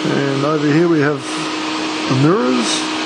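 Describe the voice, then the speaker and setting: Loud background noise under a man talking. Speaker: hobbyist maker. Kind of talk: casual show-and-tell to camera. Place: workshop. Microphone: phone near.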